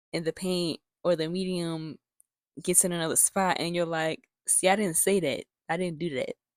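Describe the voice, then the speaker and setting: This woman talks at a moderate pace in a fairly low pitch, her intonation monotone and flat, with a dry, close sound and no echo. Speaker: YouTuber and artist. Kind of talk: casual vlog talk. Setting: home bedroom at night. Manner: speaking low. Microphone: new microphone.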